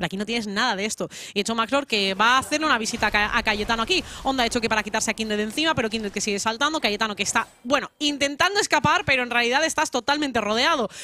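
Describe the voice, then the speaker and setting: At a very fast pace, a woman speaks in an animated tone at a fairly high pitch with ordinary pitch variation. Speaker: esports caster. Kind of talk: live esports commentary. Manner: fast, breathless play-by-play, animated; witty, jokes with magic-school and fable references.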